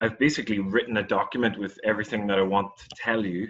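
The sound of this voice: A man's fairly low pitch, with fairly even intonation and a fairly bright tone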